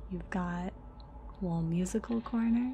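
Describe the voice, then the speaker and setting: Soft-spoken, a woman talks at a very slow pace. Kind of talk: relaxing game build commentary.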